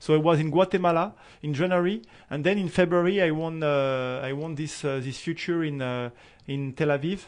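A fairly high-pitched man with a French accent, fairly quick pace and ordinary pitch variation. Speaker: professional tennis player. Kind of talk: interview. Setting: studio. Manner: halting.

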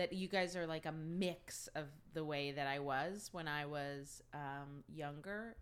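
Speaking at a fairly slow pace in an American accent, a woman has a very deep, low pitch and ordinary pitch variation. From New Jersey, US. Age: 40s. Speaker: host's mother. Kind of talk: casual chat. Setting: recording at home.

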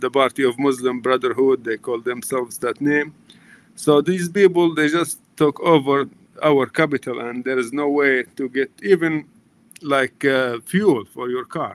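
In a dry, close recording with no echo, a man with a Libyan accent speaks at a moderate pace, his fairly high pitch showing ordinary variation. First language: Arabic. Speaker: nonprofit chief executive, former business teacher. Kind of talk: interview.

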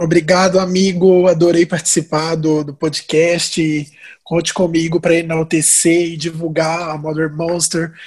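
A man talks in a monotone with flat intonation and a high pitch. His pace is fairly slow. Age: 20s. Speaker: marketing coordinator. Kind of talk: casual chat.

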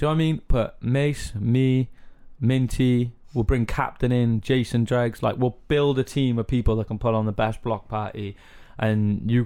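A man speaks with a medium pitch. His pace is moderate. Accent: Cardiff. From Cardiff, Wales. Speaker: musician interviewer.

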